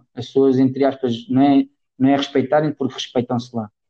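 Medium-pitched male voice, dark and mellow, with monotone, flat intonation. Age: 30s. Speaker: football coach. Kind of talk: casual interview.

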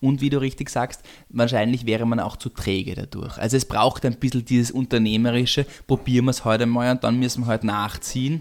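Over a silent background on a very clean recording, a man with a medium-pitched voice speaks fairly quickly in a flat monotone. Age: 30s. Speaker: family business executive. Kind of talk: interview. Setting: home kitchen.

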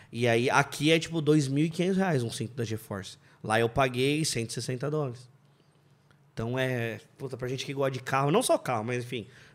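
With an ordinary speaking voice, a man talks at a moderate pace with ordinary pitch variation. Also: medium pitch for a man. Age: 30s. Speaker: car mechanic and engine tuner. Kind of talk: casual chat.

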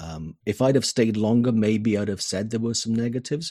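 A man with a Welsh accent, fairly low in pitch and dark and mellow in tone, at a fairly quick pace, in a dry, close sound with no echo and a quiet background. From Wales. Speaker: business consultant. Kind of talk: interview. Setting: home office.

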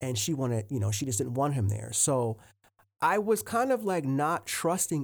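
A man in an American accent, fairly quick, with very wide pitch swings. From US Northeast, Philadelphia and South Jersey suburbs. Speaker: podcaster and art teacher. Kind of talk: casual solo monologue. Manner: rambling, fast.

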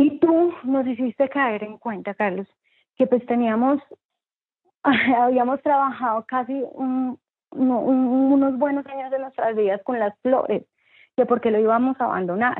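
A woman speaks at a fairly slow pace. Her voice is high, with fairly even intonation. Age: 30s. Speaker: entrepreneur. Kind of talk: interview. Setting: remote interview from home.

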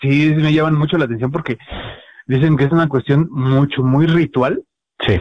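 A man with a Mexican accent speaks at a moderate pace in a fairly high pitch, his intonation fairly even. His loudness stays very even, broken by long, frequent pauses. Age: 30s. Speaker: illustrator and webcomic artist. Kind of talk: casual chat.

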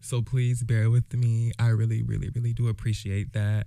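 There is a very clean recording with a silent background of a man with an American accent. His medium-pitched voice has a dark, mellow tone. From Jacksonville, Florida. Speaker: podcast host. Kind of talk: casual solo monologue. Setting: home recording, alone. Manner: halting, with many fillers and restarts.

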